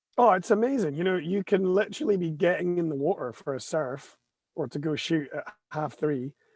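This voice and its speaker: Fairly quick and lively in intonation, a man talks at a high pitch with a Scottish accent. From Scotland. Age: 40s. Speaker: photographer. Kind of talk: casual chat.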